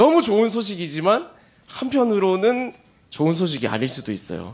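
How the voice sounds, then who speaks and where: This man's voice swings very widely in pitch. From South Gyeongsang, Korea (Gimhae). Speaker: pastor. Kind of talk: sermon. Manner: conversational, humorous asides.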